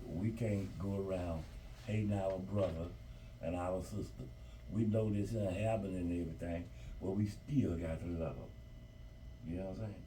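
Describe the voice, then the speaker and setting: A man speaks with a very deep, low pitch and lively intonation. Room echo can be heard around his voice. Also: moderate pace. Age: 70s. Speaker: grandparent interviewed about civil rights era. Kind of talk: interview.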